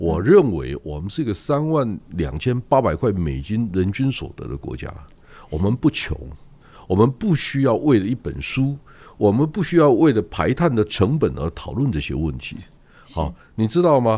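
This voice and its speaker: With a dark, mellow tone and vocal fry, a man speaks at a fairly low pitch and moderate pace, his pitch swinging very widely. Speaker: newspaper publisher. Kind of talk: casual chat.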